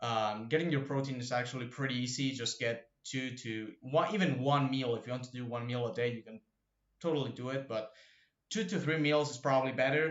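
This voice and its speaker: Fairly quick speech in a Spanish accent, with ordinary pitch variation. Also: man, medium pitch for a man. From Argentina. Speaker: fitness YouTuber. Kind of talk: casual tutorial. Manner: hesitant, many fillers.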